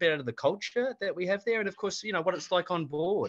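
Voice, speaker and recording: Lively intonation carries speech along at a fairly quick pace. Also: man. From Australia. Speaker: cruise line regional manager. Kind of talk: webinar presentation.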